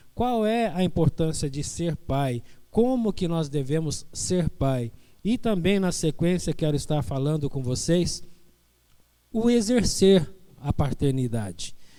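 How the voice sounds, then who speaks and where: A man's fairly high, dark, mellow voice at a very slow pace, with very wide pitch swings and audible room echo. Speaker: pastor. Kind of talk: sermon. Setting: church online Bible school broadcast. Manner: soft-spoken.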